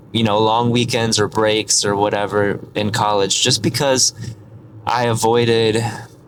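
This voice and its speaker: A man with an American accent at a moderate pace, against noticeable background noise. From US Midwest, rural Michigan. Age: 20s. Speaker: vlogger. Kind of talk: casual vlog monologue. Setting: in a car.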